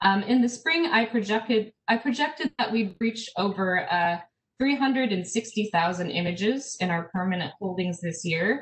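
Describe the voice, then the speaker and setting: An American woman with a fairly high pitch speaks fairly slowly with lively intonation, in an American accent. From US, South Dakota. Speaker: archivist; presenter. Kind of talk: conference presentation. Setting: online video conference. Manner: hesitant, many fillers. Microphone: webcam.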